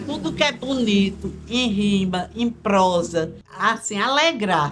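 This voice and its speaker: Her voice somewhat breathy, a woman talks at a very slow pace with lively intonation. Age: 70s. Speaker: retired schoolteacher, interviewee. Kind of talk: documentary interview. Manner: halting, with repetitions.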